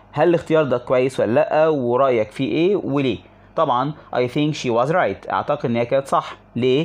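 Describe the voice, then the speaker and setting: A man with an Egyptian accent and a fairly high pitch, ordinary pitch variation, very even loudness, a moderate pace and hardly any pauses. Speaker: English teacher. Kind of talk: tutorial.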